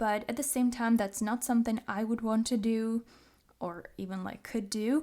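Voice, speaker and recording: In a Czech accent, a woman with a fairly high pitch and a dark, mellow tone speaks at a moderate pace with fairly even intonation, on a very clean recording with a silent background. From Czech Republic. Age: 20s. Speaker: podcast host. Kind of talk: personal monologue.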